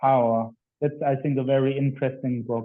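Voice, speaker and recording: A man talks at a moderate pace with a German accent. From Germany. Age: 20s. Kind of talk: interview.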